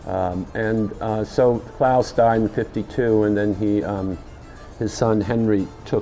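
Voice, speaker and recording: A man's very slow, monotone, flat delivery with faint music in the background. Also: fairly low pitch for a man. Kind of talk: interview answer. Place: bar. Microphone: lapel.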